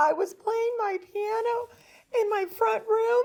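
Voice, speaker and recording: A female-sounding voice uses a put-on character voice at an extremely high pitch. She talks at a fairly slow pace. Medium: stage play. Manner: brief, straightforward answers.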